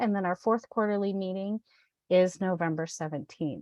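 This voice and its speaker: The sound is dry and close, with no echo, over a quiet background. Pitch varies in an ordinary way. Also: woman. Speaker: nonprofit consortium meeting host. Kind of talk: virtual meeting announcements. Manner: filler-heavy, many ums.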